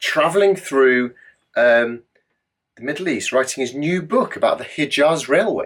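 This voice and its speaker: A man with an English accent at a fairly slow pace. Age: middle-aged. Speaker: adventurer. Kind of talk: casual Q&A monologue. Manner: animated.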